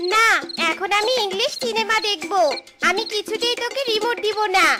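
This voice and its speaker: At an extremely high pitch, the cartoonish character voice keeps a moderate pace. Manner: defiant, spiteful.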